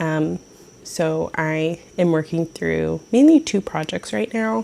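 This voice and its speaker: A soft-spoken woman with a dark, mellow tone and a fairly low pitch. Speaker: knitting vlogger. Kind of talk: casual show-and-tell vlog. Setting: at home, early morning. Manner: quiet, soft-spoken.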